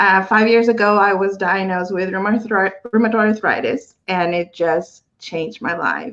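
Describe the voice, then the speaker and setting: At a moderate pace, a woman with a Guatemalan accent speaks at medium pitch with ordinary pitch variation. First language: Spanish. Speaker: panelist living with chronic illness. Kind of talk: testimony.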